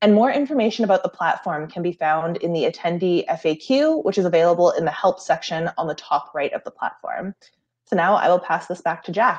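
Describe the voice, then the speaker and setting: A woman with a plain, everyday voice, fairly low in pitch, at a fairly quick pace with ordinary pitch variation over a quiet background. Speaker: program assistant and event co-host. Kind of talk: panel discussion. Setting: video call. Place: home room. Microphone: video call.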